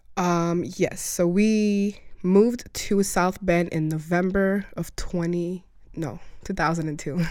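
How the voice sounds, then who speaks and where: A woman with an American accent speaks at a very slow pace, her pitch fairly low and her intonation fairly even. The recording is very clean, with a silent background. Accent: largely American, little African trace. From Rwanda. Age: 20s. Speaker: immigrant interviewee. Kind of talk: interview. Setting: studio.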